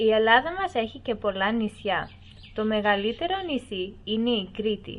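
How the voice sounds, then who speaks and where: Here a woman speaks at a fairly high pitch. Her intonation is lively. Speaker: voice-over narrator. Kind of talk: documentary-style educational narration, read aloud. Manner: even, measured, formal, clear pacing.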